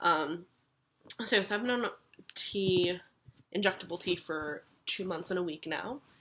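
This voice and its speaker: A woman speaks at a medium pitch and a fairly slow pace, her bright, sharp tone carrying ordinary pitch variation and broken by long, frequent pauses. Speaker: vlogger. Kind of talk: casual vlog. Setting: at home filming while dyeing hair. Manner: casual, filler-heavy.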